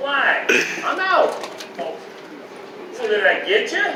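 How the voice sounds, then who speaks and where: Drawling at a fairly slow pace, a put-on character voice comes through with slight echo and clear background noise. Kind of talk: Old West reenactment acting. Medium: stage play. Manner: brash, drawling frontier slang.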